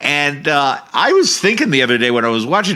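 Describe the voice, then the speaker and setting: A man speaks in an animated way, his pitch fairly high. His tone comes across bright and sharp. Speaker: political podcast host. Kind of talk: political commentary rant. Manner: shouting.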